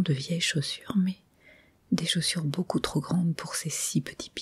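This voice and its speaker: Soft-spoken and somewhat breathy, a woman talks with ordinary pitch variation. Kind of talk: ASMR story reading.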